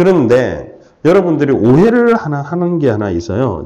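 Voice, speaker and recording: Audible room echo surrounds a man whose dark, mellow tone moves through very wide pitch swings. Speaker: financial asset management lecturer. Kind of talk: lecture.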